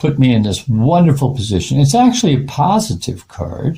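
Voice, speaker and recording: At a fairly slow pace, the voice comes through somewhat breathy with a dark, mellow tone. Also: man. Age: 70s. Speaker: artist. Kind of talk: tarot reading monologue. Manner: halting, many fillers.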